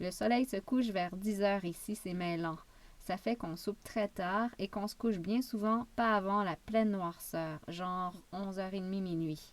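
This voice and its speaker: A woman's calm, medium-pitched voice at a fairly slow pace with fairly even intonation. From Quebec. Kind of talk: travel memoir narration. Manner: calm, relaxing.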